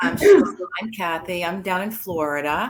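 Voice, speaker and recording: A woman's normal speaking voice, fairly low in pitch, with ordinary pitch variation. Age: 60s. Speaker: workshop participant. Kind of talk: casual sharing in group.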